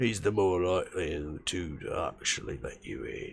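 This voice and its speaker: Using a raspy, put-on character voice, a man speaks at a moderate pace. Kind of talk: rough street talk. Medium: actual play. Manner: gruff, blunt, impatient.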